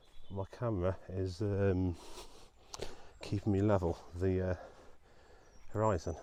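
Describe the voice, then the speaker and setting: A man is whispering. His voice is quiet. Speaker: vlogger. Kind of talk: casual vlog narration. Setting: outdoors, walking by a reservoir. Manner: quiet, almost whispering.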